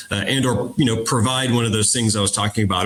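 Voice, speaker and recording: An ordinary speaking voice comes from a man of medium pitch whose intonation is fairly even. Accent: American. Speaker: defense industry executive. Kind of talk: panel discussion.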